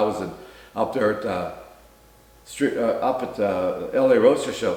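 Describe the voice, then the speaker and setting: A man speaks at a moderate pace with a fairly high pitch, against noticeable background noise and audible room echo. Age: 80s+. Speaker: retired company founder and drag racer. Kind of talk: casual chat.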